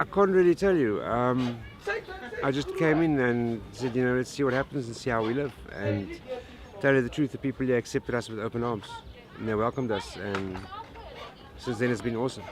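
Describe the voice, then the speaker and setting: A man at a fairly quick pace, with long, frequent pauses, ordinary pitch variation and noticeable background noise. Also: medium pitch for a man. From South Africa, Cape Town. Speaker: slum resident. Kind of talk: interview.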